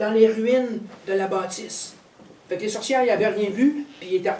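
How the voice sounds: The voice is a natural reading voice. Ordinary pitch variation runs through it.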